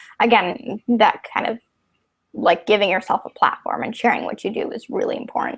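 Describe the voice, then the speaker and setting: Fairly quick delivery with ordinary pitch variation, big swings in loudness and a dry, close sound with no echo. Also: woman, fairly high pitch for a woman. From Chicago, US Midwest. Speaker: computer science student and conference speaker. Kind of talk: podcast interview. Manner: fast.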